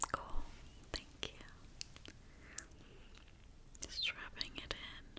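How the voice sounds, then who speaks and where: A woman whispers in a gentle tone at a very slow pace, with noticeable background noise. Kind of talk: ASMR personal attention. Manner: whispered; soft-spoken, gentle.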